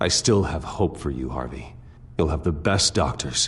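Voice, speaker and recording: In a put-on character voice, a man growls at a very deep, low pitch with a calm tone at a moderate pace, with clear background noise behind him. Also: lively intonation. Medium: video game. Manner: calm, restrained.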